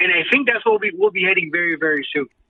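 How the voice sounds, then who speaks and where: A man with an American accent, music playing in the background. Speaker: ring announcer, podcast guest. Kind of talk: interview answer, casual talk.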